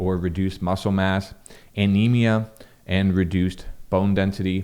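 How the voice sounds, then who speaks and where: A man talks in a very deep, low pitch with monotone, flat intonation. His tone is dark and mellow, yet nasal. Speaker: health content creator. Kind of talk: educational talk to camera. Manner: casual with fillers.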